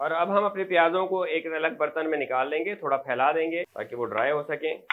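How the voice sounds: Pitch varies in an ordinary way as a man speaks fairly high.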